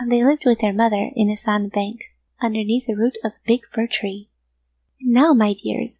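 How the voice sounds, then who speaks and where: Somewhat breathy and fairly high-pitched, a woman's voice has a dark, mellow tone and fairly even intonation in a dry, close recording with no echo. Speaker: voice actor. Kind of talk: children's story reading.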